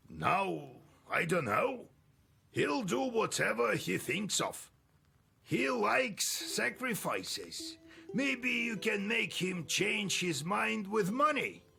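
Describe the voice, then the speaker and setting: Over faint background music, a man in a put-on character voice talks very slowly at a high pitch. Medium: video game. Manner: dry, knowing, fatalistic.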